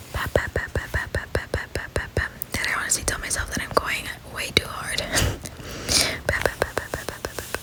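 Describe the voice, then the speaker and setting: A whisper at a fairly quick pace comes through noticeable background noise. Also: woman. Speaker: ASMR creator. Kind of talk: ASMR get-ready-with-me voiceover. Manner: whispered.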